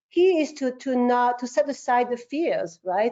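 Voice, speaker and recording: The speaker has a French accent and ordinary pitch variation. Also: woman. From France. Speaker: marketing agency founder. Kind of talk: interview. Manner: halting, many repetitions.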